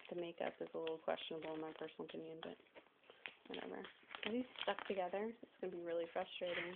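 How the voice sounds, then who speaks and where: A woman at a very fast pace with fairly even intonation, over noticeable background noise. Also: fairly low pitch for a woman. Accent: American. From US South. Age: 20s. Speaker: vlogger. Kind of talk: casual show-and-tell vlog. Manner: casual, chatty; hurried.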